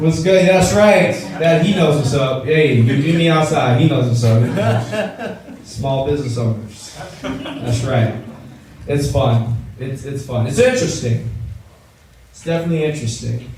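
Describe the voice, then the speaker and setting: A man with an American accent speaks at a moderate pace in a fairly high pitch with ordinary pitch variation, big swings in loudness and long, frequent pauses, with noticeable background noise and audible room echo. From Los Angeles, US. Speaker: stand-up comedian. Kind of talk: stand-up. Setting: stage with audience. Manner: animated.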